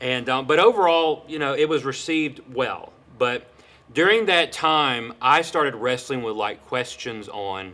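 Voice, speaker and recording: Loud and bright with a sharp tone, a man speaks fairly slowly at a fairly high pitch with lively intonation. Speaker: pastor and seminary student. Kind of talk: interview. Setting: podcast.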